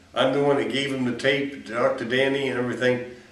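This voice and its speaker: A man with an American accent, in a room with audible echo. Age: 70s. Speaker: convicted killer. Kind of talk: interview. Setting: jail. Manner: halting.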